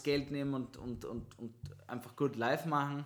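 A man with a plain, everyday voice, fairly high pitch, fairly quick pace and fairly even intonation. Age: 20s. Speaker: podcast host. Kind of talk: casual chat. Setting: studio.

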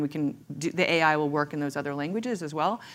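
A woman speaks at a fairly quick pace in a fairly low voice with ordinary pitch variation. It is a normal speaking voice. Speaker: tech founder. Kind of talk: casual panel chat. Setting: stage with audience.

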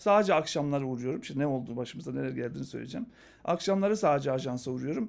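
The recording is very clean with a silent background, and the intonation is lively. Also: man. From North Macedonia (Skopje). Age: 40s. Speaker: marketing researcher and speaker. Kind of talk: casual interview.

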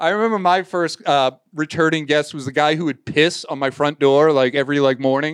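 Here a man talks in an animated tone with a fairly high pitch. He keeps a fairly quick pace with hardly any pauses. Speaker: podcast host. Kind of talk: casual chat.

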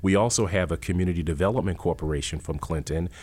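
A man speaks with a very deep, low pitch and ordinary pitch variation. The recording is very clean, with a silent background. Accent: American. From Worcester, Massachusetts. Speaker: college president. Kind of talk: interview.

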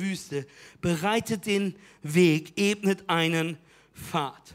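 A man speaks in an animated, energetic tone. The recording is very clean, with a silent background. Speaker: preacher. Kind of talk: sermon. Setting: church with live audience. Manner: animated, loud, energetic call-and-response; urgent, direct appeals to the audience.

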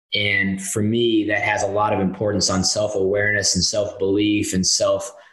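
A man with an American accent talks at a very even loudness, with audible room echo around his voice. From US South, North Carolina (Winston-Salem). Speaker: professional soccer club president. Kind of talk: interview.

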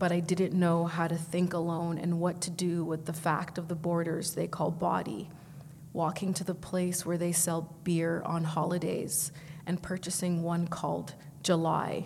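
A woman speaks at a fairly slow pace in a somewhat breathy, fairly low-pitched voice with monotone, flat intonation. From Vancouver, Canada. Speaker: poet. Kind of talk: poetry reading; panel discussion. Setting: stage with audience.

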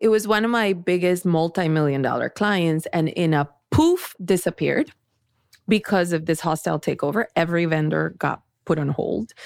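A woman with a Spanish accent speaks at a fairly low pitch on a very clean recording with a silent background. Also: ordinary pitch variation, moderate pace. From Colombia. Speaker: tech company founder and CEO. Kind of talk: interview.

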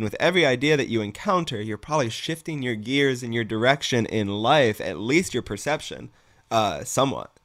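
A man with a normal speaking voice, medium pitch, lively intonation and a fairly quick pace, on a very clean recording with a silent background. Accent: American. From Massachusetts. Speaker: yoga instructor. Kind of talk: casual chat.

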